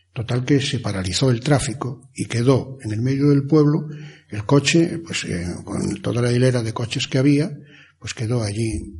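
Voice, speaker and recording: At a moderate pace, a man with a medium pitch sounds somewhat breathy and shows ordinary pitch variation. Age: 60s. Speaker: former mayor, local storyteller. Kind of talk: interview, storytelling.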